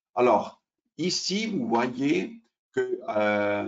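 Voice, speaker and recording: Against a quiet background, a man with an Italian accent speaks at a very slow pace. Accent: Italian-accented French, non-native. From Switzerland, Italian family. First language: Italian (speaking French). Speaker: derivatives exchange sales specialist; presenter. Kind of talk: webinar presentation. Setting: online webinar. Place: home room. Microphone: webcam.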